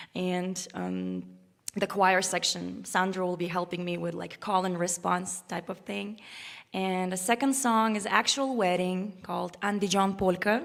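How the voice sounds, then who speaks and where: Speaking in an Uzbek accent, a woman keeps a fairly slow pace, medium pitch and fairly even intonation. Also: very clean recording, silent background. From Uzbekistan. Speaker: violinist. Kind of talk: spoken introduction to a concert piece. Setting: concert stage with live audience, live-streamed. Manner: halting, many fillers and restarts.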